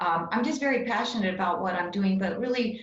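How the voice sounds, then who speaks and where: A woman at a fairly quick pace, ordinary pitch variation, audible room echo. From New Mexico, Cloudcroft. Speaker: political candidate. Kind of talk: candidate forum answers. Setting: video call. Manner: halting.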